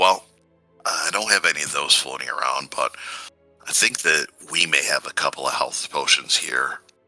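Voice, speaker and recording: A man uses a put-on character voice that sounds raspy, at a moderate pace. Faint music plays in the background. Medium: actual play.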